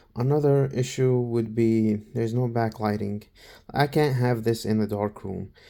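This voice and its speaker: A man's medium-pitched, dark and mellow voice at a moderate pace, with fairly even intonation, in a very clean recording with a silent background. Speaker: college student reviewing tablets. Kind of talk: casual product review. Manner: halting, many fillers and repeats.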